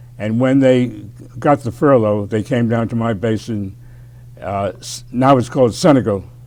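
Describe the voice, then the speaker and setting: A man with a New York accent at a moderate pace. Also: medium pitch for a man, ordinary pitch variation. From New York City (Bronx). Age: 90s. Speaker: war veteran. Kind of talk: interview.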